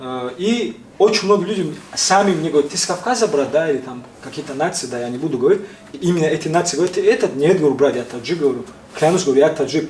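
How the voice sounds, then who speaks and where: This man talks at a very fast pace in a fairly high pitch with lively intonation. Noticeable background noise sits behind his voice. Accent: slight Caucasian. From Tajikistan. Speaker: interviewee, prankster blogger just released from custody. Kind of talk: casual interview. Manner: halting.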